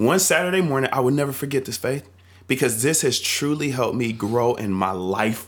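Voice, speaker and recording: Speaking at a fairly quick pace, a man with an American accent uses a medium pitch, an animated tone and lively intonation. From North Carolina. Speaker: church youth leader. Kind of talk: casual chat.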